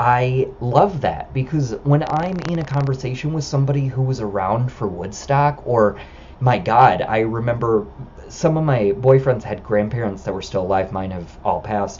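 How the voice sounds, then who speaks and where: Noticeable background noise sits behind a man with an American accent. He speaks at a moderate pace and medium pitch with lively intonation. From United States. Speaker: vlogger. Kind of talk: casual monologue. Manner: loud.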